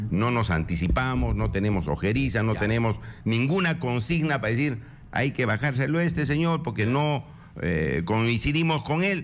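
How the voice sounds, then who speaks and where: At a moderate pace and medium pitch, a man speaks with vocal fry, very wide pitch swings and very even loudness. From Peru, Puno. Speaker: congressman. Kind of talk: political radio interview. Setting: radio studio.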